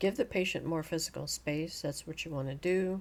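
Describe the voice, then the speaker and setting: A woman speaks at a very deep, low pitch. Vocal fry runs through her voice. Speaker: nursing educator. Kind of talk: lecture. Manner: monotone; even, calm.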